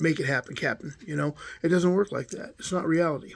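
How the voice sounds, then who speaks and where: This man sounds somewhat breathy and moves along at a fairly quick pace. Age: 60s. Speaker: former prisoner vlogger. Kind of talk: casual monologue. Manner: halting.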